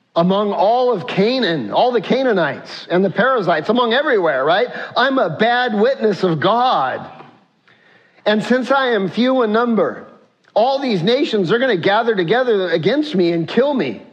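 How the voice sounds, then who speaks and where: In a room with audible echo, a man with a high-pitched voice talks at a moderate pace, keeping his loudness very even while his intonation stays lively. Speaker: pastor. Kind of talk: sermon.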